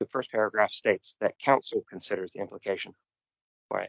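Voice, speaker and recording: A man with a New Zealand accent speaks at a fairly quick pace. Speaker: local councillor. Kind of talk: council meeting debate. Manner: formal.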